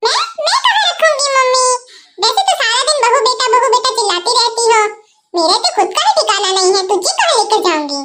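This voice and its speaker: Using a cartoonish character voice at an extremely high pitch, a woman speaks at a moderate pace with lively intonation and very even loudness. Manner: gossipy, dramatic.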